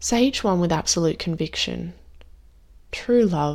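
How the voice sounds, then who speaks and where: In a very clean recording with a silent background, a woman speaks in a warm, soothing tone. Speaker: meditation guide. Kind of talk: guided meditation. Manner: slow, soothing, gentle with long pauses; warm, tender, reassuring.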